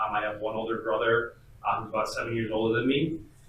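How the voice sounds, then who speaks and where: Medium-pitched male speech with an American accent, monotone and flat, amid noticeable background noise and audible room echo. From US Midwest, Batavia, Illinois. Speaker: father, podcast guest. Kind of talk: casual chat. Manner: halting, many fillers.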